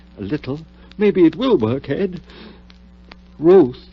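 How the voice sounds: Putting on a character voice, a man speaks slowly at a fairly high pitch, with a slightly husky edge and big pitch swings.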